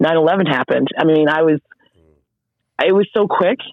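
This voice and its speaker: With an American accent, the voice moves along at a moderate pace. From Oklahoma. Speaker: retired army first sergeant. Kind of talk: casual interview. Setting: phone call.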